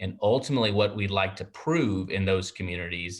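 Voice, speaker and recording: A man with a Texan accent speaks at a moderate pace against a quiet background. His pitch is fairly low and varies in an ordinary way. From Texas. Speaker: primary care physician and network president. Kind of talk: interview. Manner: warm, enthusiastic.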